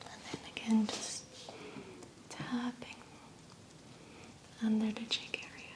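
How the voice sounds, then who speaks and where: A woman whispers in a calm tone at a very slow pace, leaving long, frequent pauses over noticeable background noise. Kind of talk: soft-spoken ASMR massage narration. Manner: soft-spoken, calm, slow.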